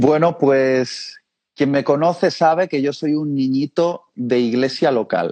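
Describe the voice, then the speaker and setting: A man speaks very slowly at a fairly high pitch, with ordinary pitch variation. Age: 30s. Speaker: preacher. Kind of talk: interview.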